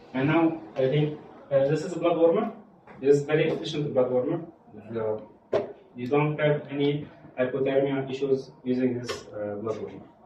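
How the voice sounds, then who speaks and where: Audible room echo and noticeable background noise surround the recording. A man with a fairly high pitch and ordinary pitch variation pauses long and often. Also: moderate pace. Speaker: medical device trainer. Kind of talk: hands-on training session. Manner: halting.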